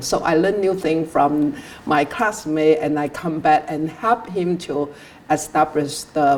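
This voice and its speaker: Speaking with a Chinese accent, a woman with a very deep, low voice talks at a fairly slow pace with ordinary pitch variation. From southern China. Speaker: immigrant interviewee. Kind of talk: interview. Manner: halting, many fillers.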